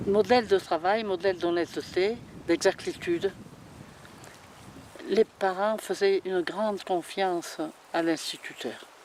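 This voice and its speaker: The speech comes at a very slow pace, broken by long and frequent pauses. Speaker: local elder interviewee. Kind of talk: documentary interview, reminiscence. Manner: halting.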